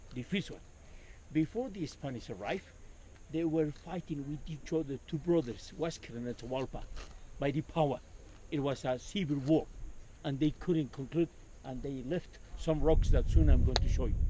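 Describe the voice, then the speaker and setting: A man with an Andean accent speaks at a moderate pace with long, frequent pauses. His dark, mellow tone sits fairly high in pitch with ordinary variation. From Peru, Cusco. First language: Quechua. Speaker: tour guide. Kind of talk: guided tour talk. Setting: outdoors.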